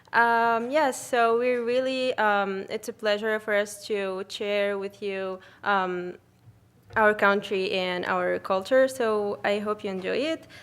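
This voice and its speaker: A woman at medium pitch with an Arabic accent, speaking at a very slow pace with fairly even intonation. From Tunisia. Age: 20s. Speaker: student. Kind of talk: presentation. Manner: hesitant.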